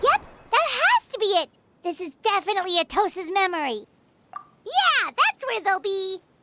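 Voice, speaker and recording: A put-on character voice is pitched extremely high. It moves at a moderate pace with long, frequent pauses. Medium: fan dub. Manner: excitable, fast.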